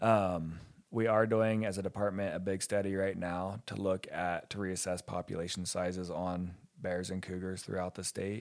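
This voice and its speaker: With an American accent, a man speaks in a very deep, low pitch at a moderate pace, his intonation monotone and flat. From West Virginia and Ohio. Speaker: wildlife biologist. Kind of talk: casual interview.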